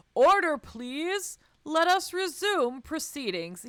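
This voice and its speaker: A woman puts on a character voice with an extremely high pitch. She speaks at a fairly slow pace with lively intonation. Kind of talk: formal, authoritative. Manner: stern, commanding.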